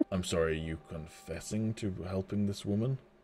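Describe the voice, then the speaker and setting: A man puts on a gravelly character voice at a very deep, low pitch. He keeps a moderate pace. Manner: grave, analytical.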